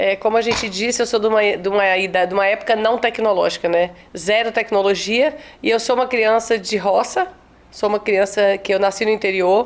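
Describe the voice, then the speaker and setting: Here a woman with an unremarkable speaking voice talks at a fairly quick pace, with fairly high pitch, fairly even intonation, and very even loudness. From Espírito Santo, Brazil (rural Colatina). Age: 40s. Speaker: teacher and children's author. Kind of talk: interview.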